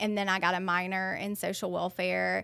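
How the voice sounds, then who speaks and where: Speaking fairly quickly, a woman with a strong Alabama accent uses a medium pitch in a very clean recording with a silent background. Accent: thick Southern (Alabama). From Alabama, US South. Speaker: counselor, social worker. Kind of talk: podcast interview. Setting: studio.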